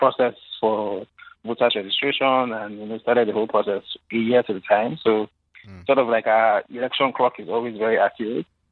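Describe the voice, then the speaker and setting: This man speaks at a very fast pace. His pitch is medium and his intonation fairly even. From Nigeria. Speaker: policy think-tank founder. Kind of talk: radio interview. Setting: phone call.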